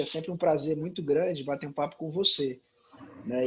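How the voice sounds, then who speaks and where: This man has an unremarkable speaking voice, fairly high in pitch, and he talks at a moderate pace. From Brazil, Sobral, Ceará (Northeast). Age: 30s. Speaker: comic book writer. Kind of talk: casual interview chat.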